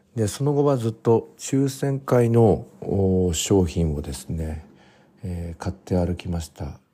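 A man speaks at a fairly low pitch in a dark, mellow, somewhat breathy voice that makes very wide pitch swings. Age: 40s. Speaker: podcast host. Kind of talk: casual diary-style monologue. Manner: frequent filler hesitations.

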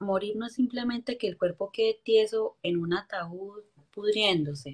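A woman with a normal speaking voice talks at a fairly slow pace, with a fairly high pitch and lively intonation. The sound is dry and close, with no echo. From Colombia, coffee region (Quindío/Valle). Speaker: motivational speaker. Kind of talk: interview testimony.

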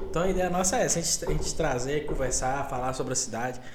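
Audible room echo around a man's voice with normal pitch movement. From Pirapora, Minas Gerais, Brazil. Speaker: podcast host and tech business owner. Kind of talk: casual chat.

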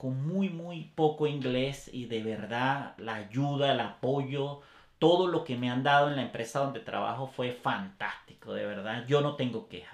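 With a Venezuelan accent, this voice moves at a fairly slow pace, with ordinary pitch variation and hardly any pauses. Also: man, medium pitch for a man. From Caracas, Venezuela. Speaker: photographer, father and business owner. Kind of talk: casual interview. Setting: studio.

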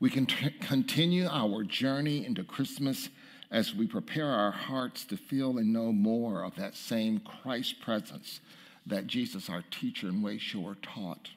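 With a plain, everyday voice at a medium pitch, a man speaks at a fairly slow pace using lively intonation. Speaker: minister. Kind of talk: sermon. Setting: church.

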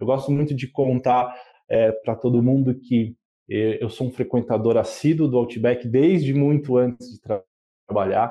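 A man's fairly slow speech in a normal speaking voice, fairly even intonation, big swings in loudness. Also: medium pitch for a man. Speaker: customer experience manager. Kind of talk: interview.

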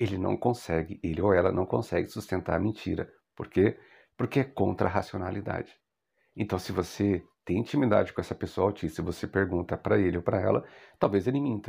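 A man talks fairly quickly in a very deep, low voice with a dark, mellow tone and vocal fry. His pitch varies in an ordinary way, and the background is quiet. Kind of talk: educational monologue.

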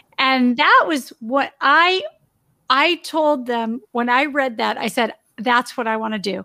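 A woman speaks fairly slowly in a high voice with a bright, sharp tone. Her pitch variation is ordinary. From Southern California, Torrance. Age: 50s. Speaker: former model turned insurance entrepreneur and author. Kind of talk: casual interview chat.

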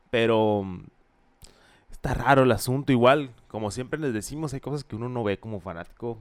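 The recording is very clean with a silent background, carrying a man's unremarkable speaking voice at medium pitch. He talks at a moderate pace with ordinary pitch variation. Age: 20s. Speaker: baseball podcast co-host. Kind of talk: casual chat.

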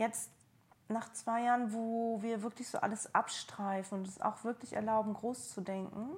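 At a moderate pace, a woman talks in a fairly high, somewhat breathy voice with monotone, flat intonation. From East Germany. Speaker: trainee coach. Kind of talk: coaching session. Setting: at home on a sofa in Berlin.

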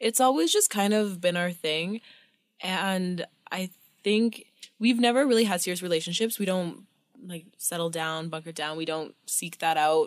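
With a Canadian accent, a woman talks at a moderate pace in a plain, everyday voice, her pitch medium and ordinary in its variation. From Canadian prairies. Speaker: podcast guest. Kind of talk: casual chat.

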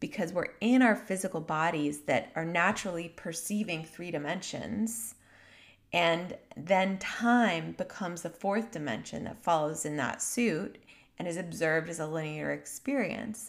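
At a moderate pace, a woman speaks in an unremarkable speaking voice, fairly low in pitch, with lively intonation. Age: 30s. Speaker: podcast host and healing mentor. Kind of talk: reflective solo monologue. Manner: warm, gentle.

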